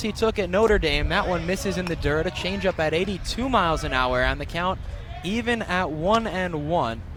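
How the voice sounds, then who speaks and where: Against noticeable background noise, a man talks at a high pitch with ordinary pitch variation and a moderate pace. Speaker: student sports broadcaster. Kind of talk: radio baseball play-by-play.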